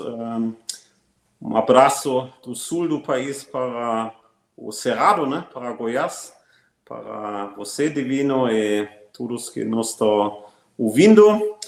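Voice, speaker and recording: A man with a German accent, very slow delivery and lively intonation. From Germany. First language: German (speaking Portuguese). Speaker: agribusiness executive. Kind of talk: interview. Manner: frequent hesitations.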